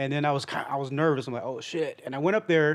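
An ordinary speaking voice with ordinary pitch variation against a quiet background. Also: man. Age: 30s. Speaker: comedian. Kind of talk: casual chat.

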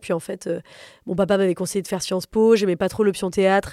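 A woman speaks at medium pitch with fairly even intonation. The sound is dry and close with no echo, on a very clean recording with a silent background. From Paris, France. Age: 30s. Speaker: comedian. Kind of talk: interview conversation. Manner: casual.

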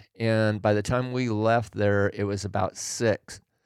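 With an American accent, a man talks in a plain, everyday voice at a fairly low pitch, his intonation fairly even and the sound dry and close with no echo. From Oregon, US Pacific Northwest. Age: 60s. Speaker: hunter and backpacker, host's father. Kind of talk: casual chat.

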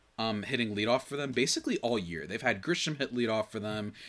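A man talks at a fairly quick pace in a bright, sharp, animated tone, on a very clean recording with a silent background. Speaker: podcast host. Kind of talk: solo baseball podcast commentary. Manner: fast talker; animated, jokey.

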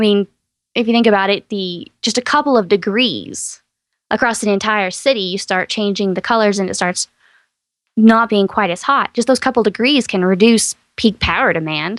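In an ordinary speaking voice with an American accent, the speaker talks at a moderate pace with ordinary pitch variation, the sound dry and close with no echo. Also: woman, medium pitch for a woman, very clean recording, silent background. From East Texas. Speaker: science podcast host. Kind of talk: casual chat.

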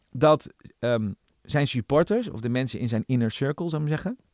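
An unremarkable speaking voice from a man comes at a fairly quick pace with lively intonation. The sound is dry and close, with no echo. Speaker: podcast host, journalist. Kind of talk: casual chat.

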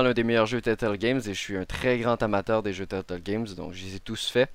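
A man talks in an ordinary speaking voice at a fairly quick pace with ordinary pitch variation, on a very clean recording with a silent background. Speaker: gaming podcast host and video creator. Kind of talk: news reading; casual panel discussion. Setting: live-streamed studio recording.

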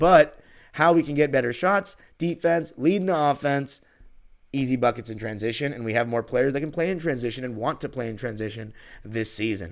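On a very clean recording with a silent background, a man with an American accent speaks at a fairly quick pace in a normal speaking voice. His medium pitch carries lively intonation. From Los Angeles, California. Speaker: podcast host, basketball fan. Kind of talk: infomercial-style sponsor ad read, promotional pitch; sports podcast monologue. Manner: polished, upbeat salesman tone; steady, persuasive, reassuring pace.

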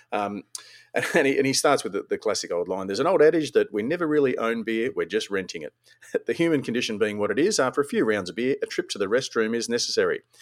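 A man talking at a very fast pace in an Australian accent. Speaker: podcast host. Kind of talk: casual chat. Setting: online call recording.

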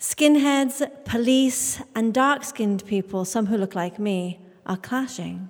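A woman with a British accent speaks fairly slowly at a fairly high pitch with lively intonation, in a very clean recording with a silent background. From England, Indian family. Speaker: storyteller. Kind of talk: live storytelling on stage, present-tense childhood memoir. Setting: stage with audience in a church.

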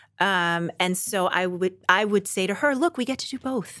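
On a very clean recording with a silent background, a woman speaks at a fairly slow pace and a medium pitch with ordinary pitch variation. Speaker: writer and actor. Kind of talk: casual chat. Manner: animated.

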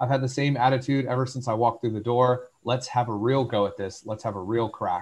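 The man's voice is somewhat breathy. He moves at a fairly quick pace, and his pitch varies in an ordinary way. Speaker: podcast host. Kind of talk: casual chat.

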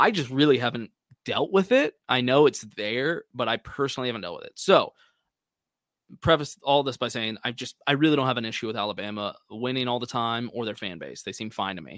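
A man's medium-pitched, plain, everyday voice with an American accent, lively intonation, big swings in loudness, and a fairly quick pace, in a very clean recording with a silent background and a dry, close sound with no echo. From Texas. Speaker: college football podcast guest. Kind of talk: casual sports chat.

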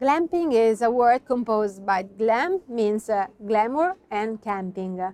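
Very slowly, a woman with an Italian accent speaks in a dark, mellow tone with lively intonation. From Italy, Veneto (Verona, Valpolicella). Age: young. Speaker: wine producer. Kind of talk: interview. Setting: at the winery estate. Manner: halting, with many fillers.

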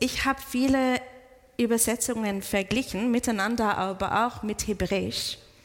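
A woman with a fairly high voice speaks over noticeable background noise. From outside German-speaking countries. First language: not German (speaking German). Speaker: pastor. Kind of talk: sermon. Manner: halting.

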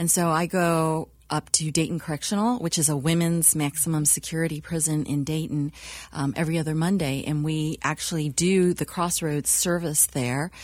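Her very deep, low pitch holds fairly even intonation and very even loudness as the woman speaks at a moderate pace. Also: very clean recording, silent background. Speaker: church co-founder. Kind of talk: interview.

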